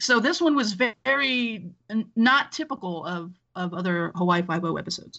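A woman speaks in a normal speaking voice. She has a medium pitch and an American accent. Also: moderate pace. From Los Angeles. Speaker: film podcaster. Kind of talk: casual chat.

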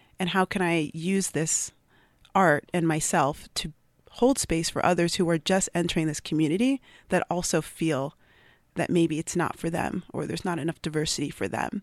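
A woman with a plain, everyday voice speaks at a moderate pace, her fairly low pitch showing ordinary variation, in a dry, close sound with no echo on a very clean recording with a silent background. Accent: American. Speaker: poet. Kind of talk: poetry reading and interview. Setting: studio.

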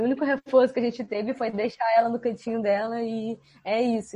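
A woman with a normal speaking voice talks at a fairly quick pace. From Rio de Janeiro state, Brazil. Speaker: animal trainer. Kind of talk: casual chat.

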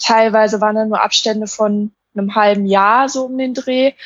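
A woman with a fairly high pitch talks at a moderate pace in a flat, monotone way. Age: 20s. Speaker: minimalism blogger. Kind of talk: casual chat.

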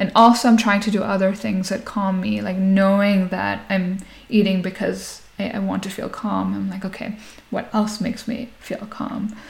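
Noticeable background noise sits behind a woman speaking at a moderate pace. Her pitch is medium and her intonation monotone and flat. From Nigeria, Lagos, Indian Sindhi family, later Canada. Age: 30s. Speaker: entrepreneur, founder of a natural foods company. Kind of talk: interview. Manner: casual, many filler words.

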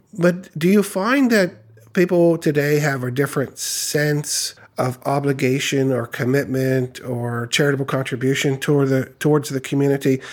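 This man has an ordinary speaking voice at a fairly high pitch. He talks at a moderate pace with ordinary pitch variation. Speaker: podcast host. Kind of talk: interview. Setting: recorded in a historic building.

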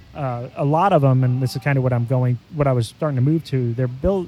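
In an American accent, a man uses a plain, everyday voice with ordinary pitch variation. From Ohio, Milford near Cincinnati. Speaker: brewer and brewery owner. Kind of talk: casual chat. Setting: at a brewery taproom.

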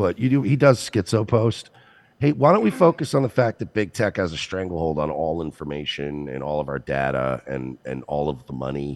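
At a moderate pace, a man with a very deep, low pitch makes very wide pitch swings. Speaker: podcast co-host. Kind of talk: casual chat.

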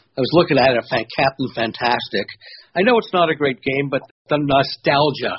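At a moderate pace, a man talks in a fairly high, somewhat breathy voice with ordinary pitch variation. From Toronto area, Canada. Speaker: pinball hobbyist, video maker.

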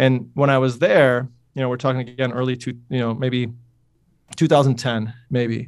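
At a moderate pace, a man with an upstate New York accent talks at medium pitch in a monotone, flat intonation. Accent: upstate New York American. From upstate New York, Utica. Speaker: strength coach and PE teacher. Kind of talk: interview. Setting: phone call. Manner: casual, many fillers.

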